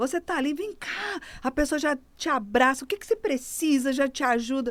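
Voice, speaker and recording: A woman talks in a high pitch with lively intonation and big swings in loudness. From Brazil, Rondônia (Porto Velho). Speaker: pastor. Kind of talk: testimony.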